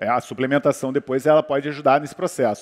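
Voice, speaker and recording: Speaking with a Brazilian accent, a man goes at a very fast pace. The sound is dry and close with no echo. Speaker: orthomolecular medicine doctor. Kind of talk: panel talk on health.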